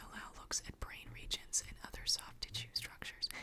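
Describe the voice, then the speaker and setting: Someone is whispering. Noticeable background noise runs underneath. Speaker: paleo artist. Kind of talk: ASMR magazine reading. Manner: soft-spoken.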